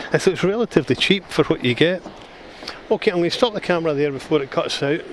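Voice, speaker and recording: A man with a Scottish accent at a fairly quick pace, over noticeable background noise. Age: 60s. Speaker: retired travel vlogger. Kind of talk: casual travel vlog narration. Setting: outdoors on a walkway. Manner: casual, halting with restarts.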